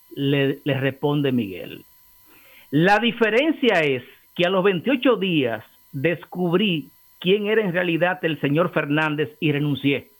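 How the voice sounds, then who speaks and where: The man's voice is high-pitched, with lively intonation. He speaks at a very slow pace. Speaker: political commentator, co-host. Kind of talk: casual chat.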